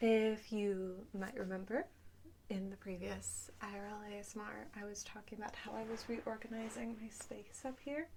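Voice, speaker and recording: A woman talks at a fairly slow pace with a fairly high pitch and ordinary pitch variation while noticeable background noise carries on behind her. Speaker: ASMR creator. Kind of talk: casual rambling talk to camera.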